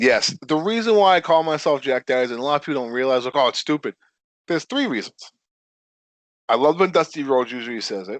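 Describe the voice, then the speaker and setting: Mumbling at a very fast pace with lively intonation and an American accent, the voice comes through dry and close with no echo against a quiet background. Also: man, fairly high pitch for a man. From Connecticut. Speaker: professional wrestler. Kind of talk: casual interview. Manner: stutters and mumbles.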